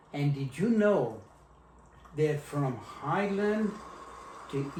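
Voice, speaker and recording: In an American accent, a man with a fairly high pitch talks at a very slow pace with lively intonation, amid audible room echo and noticeable background noise. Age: 80s+. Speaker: grandfather interviewed by granddaughter. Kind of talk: casual family interview. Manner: hesitant, halting.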